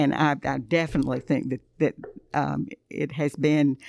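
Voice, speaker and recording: In a Southern US accent, a woman speaks with a very deep, low pitch, a dark, mellow tone and vocal fry, her intonation fairly even, on a very clean recording with a silent background and a dry, close sound with no echo. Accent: Southern US (Georgia). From US South, Thompson, Georgia. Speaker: Bible teacher. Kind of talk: casual chat.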